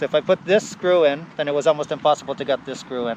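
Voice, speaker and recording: This man mumbles at a fairly quick pace. His pitch is fairly high and his intonation fairly even. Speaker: electric unicycle vlogger. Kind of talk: casual repair walkthrough. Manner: mumbly.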